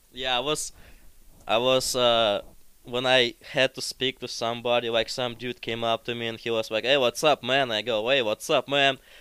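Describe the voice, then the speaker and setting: On a very clean recording with a silent background, a man speaks with a Russian accent. His tone is bright and sharp, his intonation monotone and flat. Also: medium pitch for a man, moderate pace, dry, close sound with no echo. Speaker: podcast guest. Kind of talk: casual chat.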